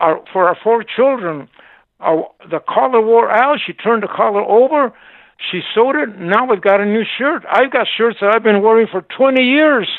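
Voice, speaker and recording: Ordinary pitch variation with an American accent. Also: man, high pitch for a man, moderate pace. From Arizona, Seligman. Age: 80s+. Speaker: shop owner. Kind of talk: interview. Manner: animated.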